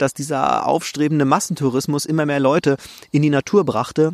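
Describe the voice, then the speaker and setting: An ordinary speaking voice belongs to this man, pitched fairly high. He talks at a moderate pace with fairly even intonation. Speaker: podcast host, nature photographer. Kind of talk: solo podcast monologue. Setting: outdoors in a forest.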